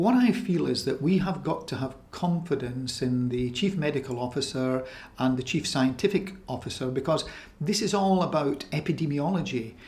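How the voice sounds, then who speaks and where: A man's somewhat breathy, fairly high-pitched voice with lively intonation at a moderate pace. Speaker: doctor. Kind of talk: interview answer.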